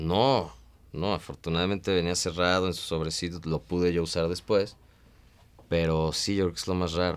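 At a moderate pace, a man speaks with fairly even intonation and a very deep, low pitch. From Mexico. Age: 30s. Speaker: stand-up comedian. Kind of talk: casual interview. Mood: relaxed, wry. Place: studio.

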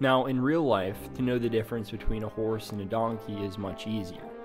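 Music plays in the background as a man speaks in a medium pitch. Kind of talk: philosophy explainer narration. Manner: slow.

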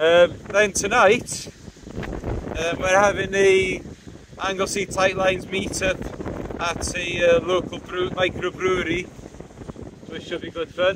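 A man speaks slowly at a high pitch. His fairly bright tone shows little pitch movement.

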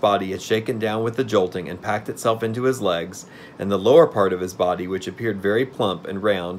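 This is an unforced reading voice.

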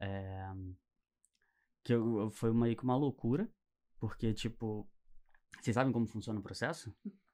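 With a dark, mellow tone, the speaker moves at a fairly slow pace, with fairly even intonation and long, frequent pauses. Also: man, medium pitch for a man. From Niterói, Rio de Janeiro, Brazil; Rio de Janeiro, Brazil. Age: 20s. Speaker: entrepreneur; podcast guest. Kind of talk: interview. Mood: relaxed, reflective. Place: studio. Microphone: studio mic.

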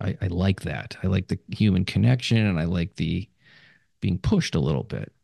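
This man has a very deep, low voice with a dark, mellow tone and vocal fry, talking at a moderate pace with ordinary pitch variation in a dry, close sound with no echo. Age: 70s. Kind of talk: interview. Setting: remote call.

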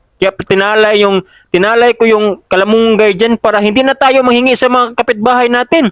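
Recorded with a dry, close sound and no echo, a man speaks at an extremely high pitch with ordinary pitch variation. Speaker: farm vlogger. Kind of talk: voice-over narration. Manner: halting.

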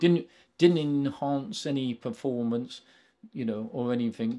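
A man has a dark, mellow tone and a British accent. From England. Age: 70s. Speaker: retired racing driver. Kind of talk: interview. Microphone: handheld.

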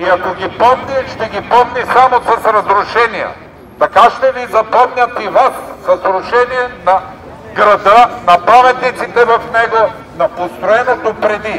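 An extremely high-pitched man at a fairly slow pace, with fairly even intonation and light background noise. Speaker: speaker. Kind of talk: protest speech. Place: street. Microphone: camera far.

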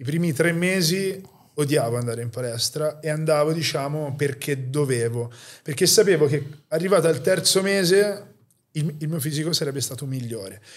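A man's fairly high, somewhat breathy voice at a moderate pace, with ordinary pitch variation. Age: 30s. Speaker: podcast host, fitness enthusiast; podcast host. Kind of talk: casual interview. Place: home room. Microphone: studio mic.

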